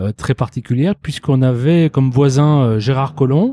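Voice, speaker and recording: A man speaks at a medium pitch with a dark, mellow tone. The sound is dry and close with no echo, on a very clean recording with a silent background. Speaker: restaurant owner. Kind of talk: interview. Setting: restaurant.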